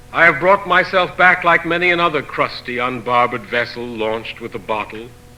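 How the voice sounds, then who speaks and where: A man talks at a moderate pace with lively intonation. Noticeable background noise is present. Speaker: poet. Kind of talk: poetry reading.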